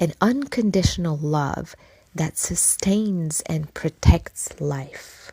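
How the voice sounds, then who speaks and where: The voice is somewhat breathy, with a dark, mellow tone and lively intonation. It moves at a very slow pace. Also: woman. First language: not English. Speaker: podcast host. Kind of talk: reflective podcast monologue.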